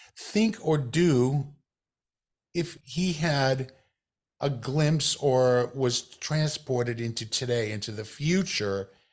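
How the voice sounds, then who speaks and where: On a very clean recording with a silent background, a man with an American accent speaks somewhat breathily at a fairly high pitch with ordinary pitch variation. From US South. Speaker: podcast host. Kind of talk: interview.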